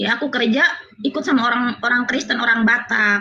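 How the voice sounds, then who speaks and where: Fairly even in intonation, a woman talks in a high voice. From Cianjur, West Java (Sundanese). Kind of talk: testimony on video call.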